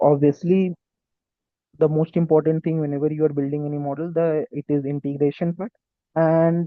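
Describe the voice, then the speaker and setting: With an Indian accent, a man of fairly high pitch speaks in a monotone, flat intonation. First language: Hindi. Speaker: tech YouTuber and student engineer. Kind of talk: tutorial. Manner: halting.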